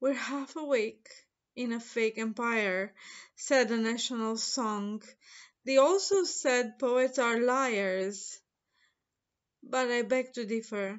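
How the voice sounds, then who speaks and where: Over a quiet background, a woman with a fairly high pitch speaks in a dramatic tone at a very slow pace, using ordinary pitch variation and long, frequent pauses. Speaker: poet reading own work. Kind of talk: poem reading, contemplative and literary. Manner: slow, measured, deliberate; reflective, lyrical, dramatic build to a closing flourish. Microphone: webcam.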